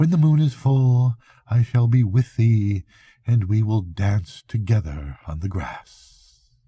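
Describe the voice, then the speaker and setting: This man puts on a character voice at a medium pitch. His pace is fairly slow. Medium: read story. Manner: secretive.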